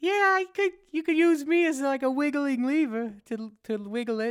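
A female-sounding voice is pitched high in a put-on character voice. The pace is moderate. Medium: actual play. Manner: theatrical, fickle.

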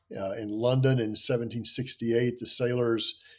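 A man has a plain, everyday voice, medium in pitch, with an American accent. He talks at a fairly slow pace on a very clean recording with a silent background. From US South (Kentucky, Tennessee, Virginia). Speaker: history professor. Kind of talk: interview.

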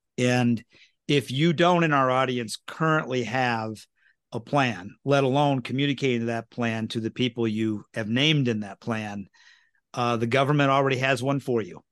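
An unremarkable speaking voice from a man of medium pitch, moderate pace and ordinary pitch variation, dry and close with no echo, over a quiet background. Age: 50s. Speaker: wealth manager and podcast host. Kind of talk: casual interview chat.

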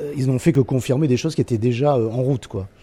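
Here a man speaks at a medium pitch. His voice is somewhat breathy. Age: 60s. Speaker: artistic director of a concert venue. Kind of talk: radio interview.

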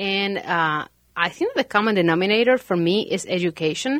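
A woman with a Spanish accent and ordinary pitch variation, on a very clean recording with a silent background. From Argentina (Santa Fe). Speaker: realtor. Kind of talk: casual chat.

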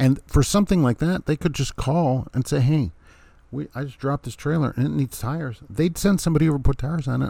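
A man's fairly high, somewhat breathy voice with a dark, mellow tone, very fast pace and ordinary pitch variation, in a dry, close sound with no echo. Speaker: truck driver podcast host. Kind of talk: angry rant; casual solo podcast monologue. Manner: indignant, sarcastic; exasperated, emphatic.

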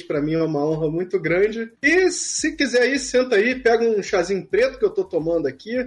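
Speaking at a fairly quick pace, a man with a Rio de Janeiro accent uses lively intonation. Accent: carioca. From Rio de Janeiro, Brazil. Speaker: book editor and podcaster. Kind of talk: casual interview.

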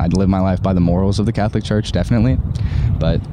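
A man speaks with a very deep, low pitch and ordinary pitch variation while noticeable background noise runs behind him. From Ireland. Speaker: university student. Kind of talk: casual chat.

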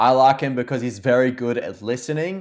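A medium-pitched man speaks with an Australian accent and fairly even intonation. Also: very clean recording, silent background. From Australia, Victoria. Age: 20s. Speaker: YouTuber, photographer and filmmaker. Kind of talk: casual chat.

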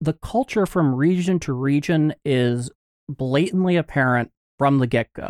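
With an ordinary speaking voice and a fairly high pitch, a man uses lively intonation in a dry, close sound with no echo. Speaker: podcast co-host. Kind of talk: casual chat.

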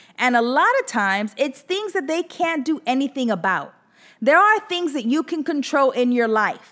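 Her tone animated, a woman speaks at a moderate pace in a high voice that swings very widely in pitch. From US, Latin household. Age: 40s. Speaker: podcast host, entrepreneur. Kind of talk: casual monologue.

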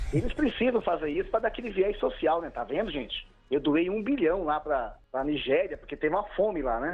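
Hardly any pauses break this man's speech. His high-pitched voice moves in very wide pitch swings. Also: fairly quick pace. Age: 50s. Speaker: history teacher and union activist. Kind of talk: casual chat.

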